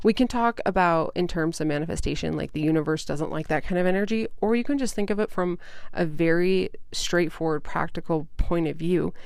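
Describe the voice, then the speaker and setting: At a fairly quick pace, a woman talks in an ordinary speaking voice, fairly low in pitch with ordinary pitch variation. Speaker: podcast host and mindset coach. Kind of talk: solo podcast talk. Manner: casual, with fillers.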